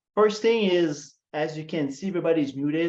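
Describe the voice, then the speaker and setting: A man in a Quebec accent, high-pitched with ordinary pitch variation, at a fairly slow pace. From Quebec, Montreal. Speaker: customer success marketer. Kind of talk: webinar presentation. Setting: online webinar. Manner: frequent fillers, hesitant.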